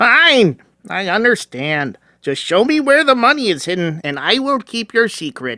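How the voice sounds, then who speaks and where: A man in a put-on character voice, high-pitched with very wide pitch swings, dry and close with no echo. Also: moderate pace. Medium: audio drama. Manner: simple, polite.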